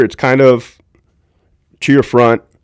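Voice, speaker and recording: A loud man speaks with an American accent at a fairly slow pace. The recording is very clean, with a silent background. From Southern California. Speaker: former prison guard and livestream host. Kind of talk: livestream commentary. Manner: casual, conversational.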